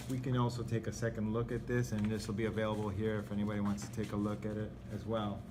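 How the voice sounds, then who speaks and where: At a very fast pace, a man speaks with a fairly low pitch. His intonation is fairly even, with audible room echo. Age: 40s. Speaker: condo board president. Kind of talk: meeting chairing.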